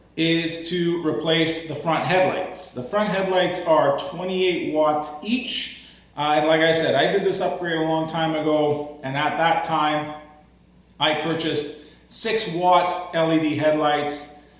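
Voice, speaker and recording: A man speaks at a very slow pace with a high voice. There is audible echo in the room. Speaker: tractor owner. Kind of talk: tutorial. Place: garage. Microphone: camera far.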